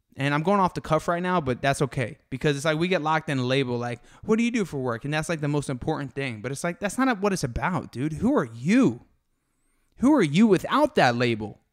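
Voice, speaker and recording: The speaker talks at a very fast pace with an American accent and very wide pitch swings. The recording is very clean, with a silent background. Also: man, fairly high pitch for a man. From Florida, Fort Lauderdale. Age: 20s. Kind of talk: casual monologue on faith. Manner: animated, conversational.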